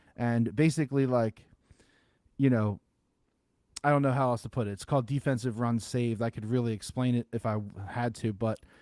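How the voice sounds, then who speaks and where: Recorded very cleanly against a silent background, this voice has a dark, mellow tone, ordinary pitch variation, and a dry, close sound with no echo. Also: man. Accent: Philadelphia. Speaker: sports podcast co-host. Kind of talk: casual chat.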